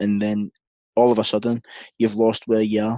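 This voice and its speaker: A man with a Scottish accent speaks at a fairly quick pace, with a dark, mellow tone and medium pitch. The sound is dry and close with no echo, over a quiet background. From Scotland. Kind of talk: interview answer.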